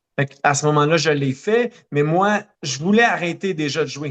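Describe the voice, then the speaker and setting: A man with a Quebec accent and ordinary pitch variation. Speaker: running coach and marathoner. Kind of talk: podcast interview. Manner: many hesitations (euh).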